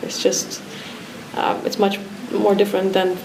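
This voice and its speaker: A woman with a Romanian accent speaks in a monotone, flat way. Noticeable background noise and audible room echo surround her voice. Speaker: artist. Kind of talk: interview. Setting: art school pavilion.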